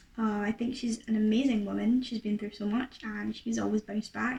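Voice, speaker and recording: Fairly high pitch from a woman, with noticeable background noise. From Scotland. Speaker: YouTuber and singer. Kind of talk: casual Q&A to camera. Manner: chatty, many fillers.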